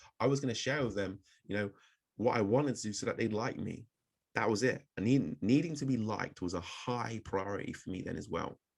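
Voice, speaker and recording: His pitch is medium. This man's pace is fairly quick. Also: ordinary pitch variation. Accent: southern English. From southern England, Oxford and Bristol. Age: 30s. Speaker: public speaking coach. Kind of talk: webinar presentation.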